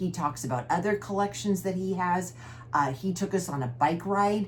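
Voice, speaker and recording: A woman's somewhat breathy voice moves at a moderate speed, her pitch swinging very widely. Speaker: cross-stitch vlogger. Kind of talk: casual chat.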